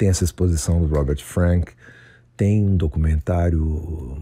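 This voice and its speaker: A man speaks with a very deep, low pitch and a dark, mellow tone. His voice is somewhat breathy, with ordinary pitch variation. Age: 60s. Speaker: writer and former rock musician. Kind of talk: recorded author statement. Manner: halting.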